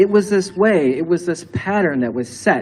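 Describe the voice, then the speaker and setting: A man speaks with an American accent and lively intonation. There is noticeable background noise. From Michigan, Grand Rapids. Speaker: minister. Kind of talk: sermon.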